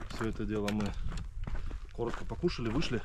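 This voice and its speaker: A man talks at a moderate speed amid loud background noise, and the sound is dry without any echo. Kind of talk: casual vlog chat. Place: open country. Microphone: phone near.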